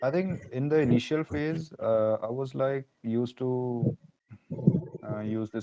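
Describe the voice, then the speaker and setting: A man speaks with an Indian accent. His pitch varies in an ordinary way. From northern India. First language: Hindi. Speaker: language learner. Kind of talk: casual chat.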